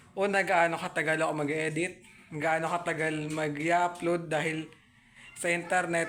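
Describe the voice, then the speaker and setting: Over noticeable background noise, a man speaks in a high, monotone, flat voice at a moderate pace. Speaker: YouTuber. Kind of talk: casual vlog update. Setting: at home. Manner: halting.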